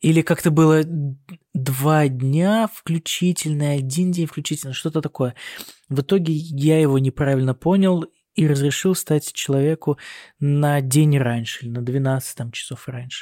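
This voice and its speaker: A man with a Russian accent speaks fairly slowly in a dark, mellow tone with ordinary pitch variation. The sound is dry and close, with no echo. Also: fairly high pitch for a man. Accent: Russian accent when speaking German. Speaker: doctor (neurosurgeon) working in Germany, podcast co-host. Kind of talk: casual chat. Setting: recording on hospital night duty, on a laptop.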